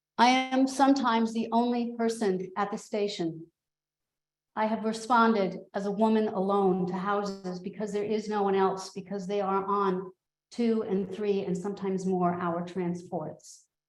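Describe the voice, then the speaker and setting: Delivered at a moderate pace, a woman's medium-pitched voice keeps a fairly even intonation. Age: 60s. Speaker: volunteer EMT. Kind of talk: public comment at meeting. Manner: impassioned.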